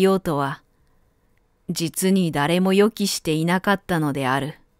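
A woman speaks in a normal speaking voice at a medium pitch. The sound is dry and close with no echo, on a very clean recording with a silent background. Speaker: narrator. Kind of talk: audiobook literary reading.

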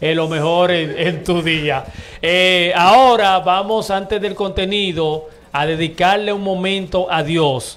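Speaking at a very slow pace, a man uses a high pitch. His intonation stays fairly even. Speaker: radio show host. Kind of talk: radio talk show. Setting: radio studio.

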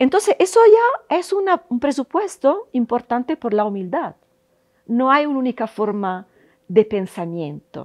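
A woman in an Italian accent speaks at a fairly slow pace with a high pitch and very wide pitch swings, over a quiet background. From Italy. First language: Italian (speaking Spanish). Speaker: university professor. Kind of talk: interview monologue. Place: hall. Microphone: lapel.

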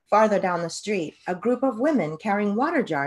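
The delivery is plain reading aloud. Its intonation is lively.

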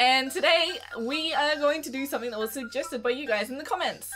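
A woman with an Australian accent and a high pitch speaks at a moderate pace, with faint music in the background. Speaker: gaming YouTuber. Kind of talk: casual talk to camera. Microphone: webcam.

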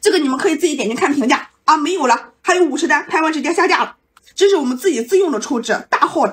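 A woman shouts at a very fast pace in a high pitch, her intonation lively. Her tone is playful and animated. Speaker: livestream host selling while eating. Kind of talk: live-stream sales pitch while eating. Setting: live stream. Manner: fast, hard-sell haggling patter, shouting prices and stock urgency; chatty, playful, animated banter with viewers. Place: home room. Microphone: phone near.

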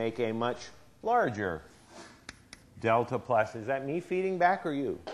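A man with an American accent, moderate pace and ordinary pitch variation. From Philadelphia area, US. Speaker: chemistry professor. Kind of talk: university lecture. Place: hall. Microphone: lapel.

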